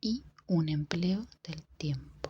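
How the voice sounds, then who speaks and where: A soft-spoken whisper. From Argentina. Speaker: ASMR creator. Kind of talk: ASMR book reading. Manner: soft-spoken, whispered.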